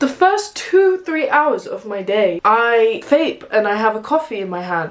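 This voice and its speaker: A woman with an English accent speaks with lively intonation over noticeable background noise. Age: 20s. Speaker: vlogger. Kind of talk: casual chat. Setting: in the bath. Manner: talkative.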